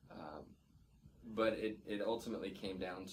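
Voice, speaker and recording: With an American accent, a man talks at a moderate pace, and audible room echo surrounds his voice. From England. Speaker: professor. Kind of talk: interview. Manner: repeats words, slightly halting.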